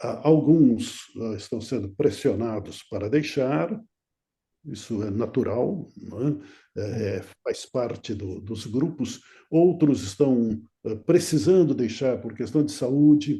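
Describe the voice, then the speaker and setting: With a dark, mellow tone and lively intonation, the somewhat breathy voice moves at a very slow pace. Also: man, medium pitch for a man. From Brazil, São Paulo city. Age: 80s+. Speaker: retired pastor. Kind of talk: interview. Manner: halting.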